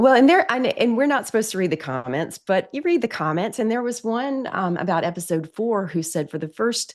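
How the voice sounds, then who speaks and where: Over a quiet background, a woman with an American accent talks at a fairly quick pace. Her pitch swings very widely. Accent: Southern, coming out more lately. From South Carolina, near Horry County. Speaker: newspaper reporter. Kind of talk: interview conversation.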